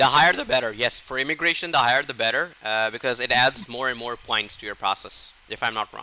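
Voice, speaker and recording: Speaking at a very fast pace with hardly any pauses, a man uses a medium pitch, ordinary pitch variation, and a bright, sharp tone. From Pakistan. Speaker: IELTS speaking tutor. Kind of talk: feedback session in a one-to-one lesson. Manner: halting, many fillers and repetitions.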